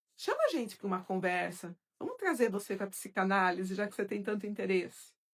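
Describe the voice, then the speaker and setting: Here is a woman with an unremarkable speaking voice at medium pitch. She talks at a fairly quick pace with fairly even intonation. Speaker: psychoanalyst and course teacher. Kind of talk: live stream Q&A with viewers.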